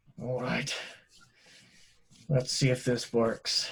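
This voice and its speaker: Someone speaks in a raspy, put-on character voice. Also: man, medium pitch for a man. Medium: actual play. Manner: concerned, questioning.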